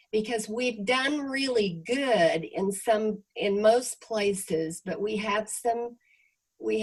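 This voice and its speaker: The delivery is very slow. Pitch variation is ordinary. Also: woman. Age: 80s+. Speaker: real estate company leader. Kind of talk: interview on video call. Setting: video call.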